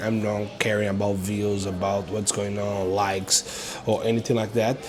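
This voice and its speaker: Over noticeable background noise, a man with a Brazilian accent speaks at a moderate pace in a fairly low pitch. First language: Portuguese. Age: 30s. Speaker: online entrepreneur and vlogger. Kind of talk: casual vlog monologue. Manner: halting, many fillers.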